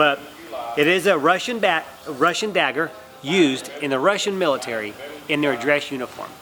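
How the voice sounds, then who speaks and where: With music going in the background, a man talks in a lively, up-and-down intonation. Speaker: auctioneer. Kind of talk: explaining auction terms and presenting items to camera. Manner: clear, friendly, explanatory.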